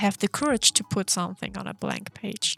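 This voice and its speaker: With music in the background, a woman speaks with a non-native accent in a dry, close sound with no echo. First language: not English. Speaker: art content creator. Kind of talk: casual chat while drawing. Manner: hesitant, with filler words.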